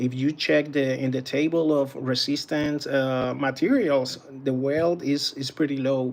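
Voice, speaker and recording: A man with a Puerto Rican accent speaks at a very slow pace. His pitch is fairly high and his intonation fairly even. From Puerto Rico. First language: Spanish. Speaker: battery tester and DIY group moderator. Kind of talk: live stream equipment demonstration. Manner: halting, many fillers.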